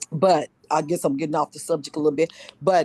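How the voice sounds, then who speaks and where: A woman with an unremarkable speaking voice talks at a moderate pace in a fairly low pitch with fairly even intonation, the sound dry and close with no echo. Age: 60s. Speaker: book study group participant. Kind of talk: casual group discussion, personal sharing.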